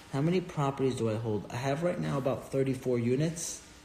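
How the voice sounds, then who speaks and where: Amid audible room echo, a man talks at a moderate pace in a medium pitch with lively intonation. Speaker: real estate investor and finance educator. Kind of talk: live stream Q&A. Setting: Instagram live stream. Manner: casual, filler-heavy.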